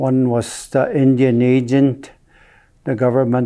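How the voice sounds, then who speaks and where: Very slowly, a man speaks at a medium pitch with a dark, mellow tone. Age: 70s. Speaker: First Nation elder. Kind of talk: oral history telling. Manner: halting, with hesitations.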